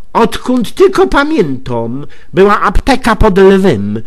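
A man speaks at a very slow pace, with very wide pitch swings. Noticeable background noise runs underneath. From Greater Poland. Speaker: dialect storyteller. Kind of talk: humorous monologue in regional dialect. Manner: chatty, colloquial.

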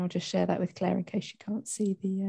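Somewhat breathy, a woman speaks at a very fast pace with fairly even intonation against a quiet background. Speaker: event organizer. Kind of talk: event moderation. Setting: video call. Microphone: video call.

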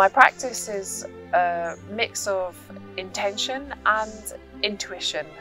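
The speech moves at a very slow pace, with a dry sound and no echo. Faint music plays in the background. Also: woman. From Scotland. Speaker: community tapestry artist. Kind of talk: documentary narration about own work. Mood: warm, reflective. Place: garden.

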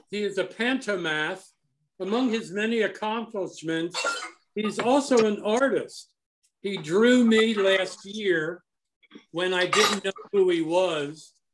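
A high-pitched man at a very slow pace, with ordinary pitch variation and noticeable background noise. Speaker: horticultural society member introducing the speaker. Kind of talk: speaker introduction. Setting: video call. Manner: enthusiastic. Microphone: video call.

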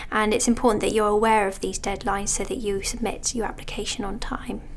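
A woman's fairly high-pitched voice at a fairly quick pace. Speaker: university admissions officer. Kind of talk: informational explainer. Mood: calm, friendly, informative. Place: office. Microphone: lapel.

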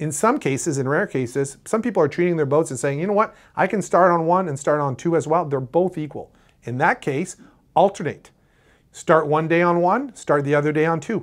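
A man speaks at a fairly quick pace with ordinary pitch variation against a quiet background. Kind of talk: tutorial. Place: studio.

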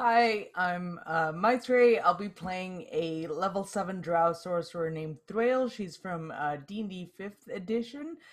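Speaking fairly slowly with few pauses, a woman uses a fairly low pitch and ordinary pitch variation.

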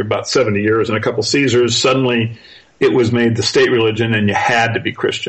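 A man at a fairly quick pace, his loudness very even. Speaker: author and researcher. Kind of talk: interview. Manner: relaxed and even-handed; halting, many fillers.

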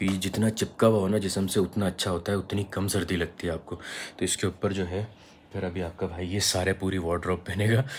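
Over light background noise, a man with a very deep, low, somewhat breathy voice speaks at a moderate pace in a monotone, flat intonation. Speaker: travel vlogger. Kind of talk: casual vlog chat. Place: home room. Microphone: phone near.

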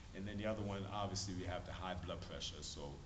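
Noticeable background noise behind a man's very deep, low-pitched speech. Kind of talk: casual family talk to camera. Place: hall. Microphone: camera far.

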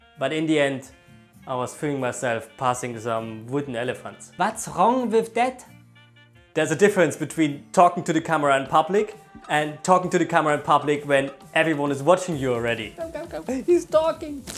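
A man with a German accent talks at a fairly quick pace in a fairly high voice. His intonation is lively, and faint music plays in the background. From Germany. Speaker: YouTuber, former hospitality worker. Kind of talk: comedic vlog talk to camera. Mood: jokey, ironic storytelling.

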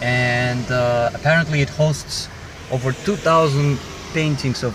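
Medium-pitched male speech with ordinary pitch variation and noticeable background noise behind it. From Azerbaijan (Baku). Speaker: video blogger. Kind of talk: casual vlog tour and chat. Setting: museum, walking tour.

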